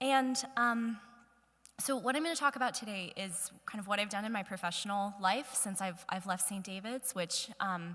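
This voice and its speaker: In an American accent, a woman speaks loudly at a moderate pace with a medium pitch, ordinary pitch variation and a bright, sharp tone. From US, northern Virginia (Ashburn). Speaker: guest speaker. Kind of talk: church talk. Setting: church hall with audience.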